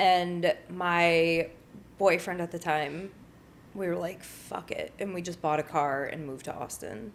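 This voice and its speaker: With an unremarkable speaking voice, a woman talks at a fairly low pitch and a fairly slow pace, showing ordinary pitch variation. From northern Connecticut, US. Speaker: activist and social media creator. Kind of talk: interview conversation. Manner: casual, filler-heavy.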